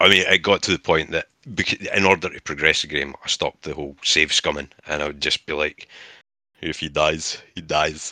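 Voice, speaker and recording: A man with a Scottish accent speaks at a very deep, low pitch in a bright, sharp tone, with monotone, flat intonation and big swings in loudness. The recording is very clean, with a silent background, and sounds dry and close with no echo. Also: moderate pace. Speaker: podcast co-host. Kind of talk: casual chat.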